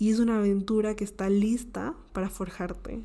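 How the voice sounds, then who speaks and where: This is a woman's voice at a medium pitch. She speaks at a fairly slow pace. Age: 20s. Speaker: podcast host. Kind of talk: motivational monologue.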